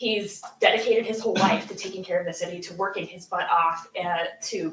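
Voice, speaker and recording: A woman keeps a moderate pace while audible room echo lingers around her words. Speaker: public commenter at city council meeting. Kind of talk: public comment. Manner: halting.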